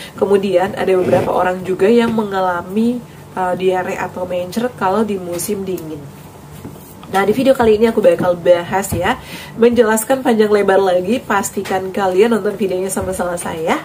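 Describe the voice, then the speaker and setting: Noticeable background noise runs beneath the clip. A woman speaks with fairly even intonation. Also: medium pitch for a woman. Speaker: health vlogger. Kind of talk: vlog advice talk.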